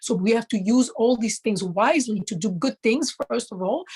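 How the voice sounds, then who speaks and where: A woman's somewhat breathy, fairly high voice at a moderate pace, with ordinary pitch variation and a dry, close sound with no echo. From Central Africa (DR Congo, Kasai). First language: Tshiluba (Congolese native language). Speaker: traditional monarch and environmental speaker. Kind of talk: interview. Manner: halting, with frequent fillers.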